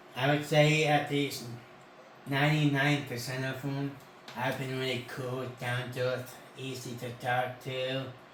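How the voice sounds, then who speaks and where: A man talks at a medium pitch and a fairly slow pace in a monotone, flat intonation. There is audible room echo and noticeable background noise. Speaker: convention-going channel host. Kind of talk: casual chat.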